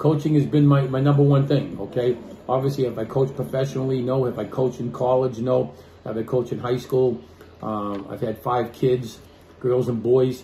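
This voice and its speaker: A man with an American accent speaks at a moderate pace in a medium-pitched, somewhat breathy voice with a dark, mellow tone and fairly even intonation. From Boston. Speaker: sports podcast host, former coach. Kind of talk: casual chat.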